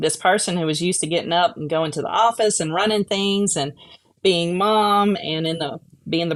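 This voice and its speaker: Speaking with a Memphis accent, a woman talks at a moderate pace with ordinary pitch variation. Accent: Southern US (Memphis). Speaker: vision rehabilitation instructor. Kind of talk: casual chat.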